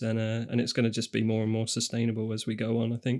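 This man speaks with a British accent at a medium pitch. His pace is very fast. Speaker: podcast co-host. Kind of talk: casual chat.

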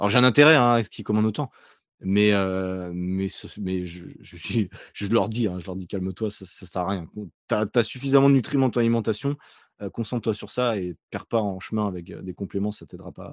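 With a normal speaking voice and fairly low pitch, a man talks at a moderate pace with ordinary pitch variation and big swings in loudness. The sound is dry and close with no echo, over a quiet background. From France, Nantes. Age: 30s. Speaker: online fitness coach. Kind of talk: casual interview.

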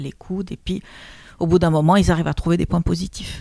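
Vocal fry runs through this woman's fairly low-pitched voice. The recording is very clean, with a silent background. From Lebanon. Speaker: trainer and coach. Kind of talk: interview testimony.

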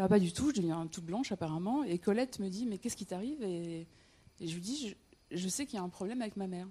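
Somewhat breathy and lively in intonation, the voice moves at a very fast pace. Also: woman, medium pitch for a woman. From north-eastern France, Metz (Lorraine). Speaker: storyteller. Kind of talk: personal storytelling on stage. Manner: halting, with frequent repetitions and hesitations.

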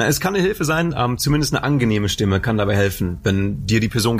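Somewhat breathy and fairly low-pitched, a man talks at a very fast pace. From Germany, Lower Rhine area (Anholt/Bocholt). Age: 20s. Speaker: mentalist and hypnotist. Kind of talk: casual interview. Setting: theatre venue.

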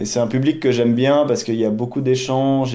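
Fairly quick and fairly even in intonation, a man talks at a medium pitch in a plain, everyday voice. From Switzerland (Geneva area). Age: 40s. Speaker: math teacher and amateur trader. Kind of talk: interview.

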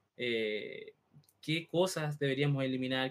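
The man's fairly high pitch shows ordinary pitch variation as he talks at a very slow pace. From Chile, Santiago. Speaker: podcast co-host. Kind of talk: casual chat.

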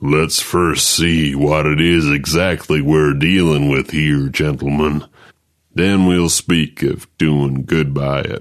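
A put-on character voice from a man, very deep and low, at a fairly slow pace. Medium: read story. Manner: drawling frontier folksy.

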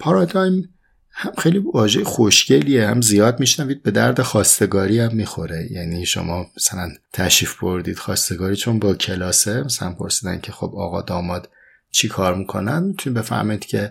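The voice is somewhat breathy with lively intonation. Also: man, fairly low pitch for a man, fairly quick pace. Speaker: philosophy podcast host. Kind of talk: reflective lecture. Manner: formal.

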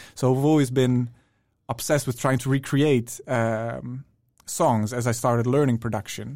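With a Dutch accent, the speaker's monotone, flat intonation comes through on a very clean recording with a silent background. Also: man, medium pitch for a man, moderate pace. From Netherlands. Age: 20s. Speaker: music producer. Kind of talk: casual chat.

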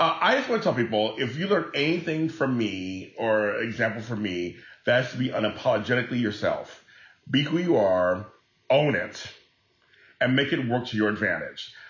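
His intonation is lively. The man has a plain, everyday voice. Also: medium pitch for a man, moderate pace. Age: 40s. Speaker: entertainer and podcast host. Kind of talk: casual chat.

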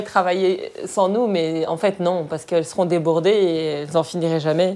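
A woman talks in an ordinary speaking voice at a medium pitch. Her pace is moderate. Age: 30s. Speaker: hospital logistics aide. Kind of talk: interview testimony.

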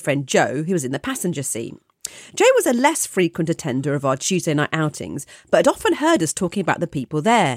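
Talking at a very fast pace, a woman with a British accent swings her pitch very widely. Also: dry, close sound with no echo. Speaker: podcast co-host. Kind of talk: casual chat.

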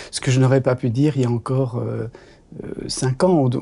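This man's voice is somewhat breathy. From Belgium, Brussels. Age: 60s. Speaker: doctor and author. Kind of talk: interview conversation. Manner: hesitant, many fillers.

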